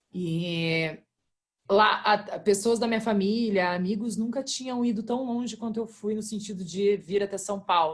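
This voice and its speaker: Fairly slow, somewhat breathy woman's voice at a medium pitch, ordinary pitch variation, and big swings in loudness. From Brazil, interior of Rio Grande do Sul. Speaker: independent musician. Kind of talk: casual group video chat. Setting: video call.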